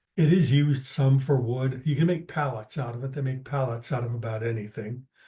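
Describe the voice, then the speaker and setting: A man with a medium pitch speaks in a dark, mellow, somewhat breathy voice with fairly even intonation. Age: 70s. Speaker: naturalist presenter. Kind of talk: lecture. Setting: video call.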